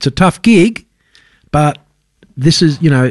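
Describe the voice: With lively intonation, a man talks at a fairly slow pace in a fairly high pitch.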